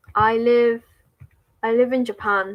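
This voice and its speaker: A woman with an English accent, at a fairly slow pace. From England. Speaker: spiritual livestreamer and English teacher. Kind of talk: casual livestream chat with viewers. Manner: casual, with frequent fillers.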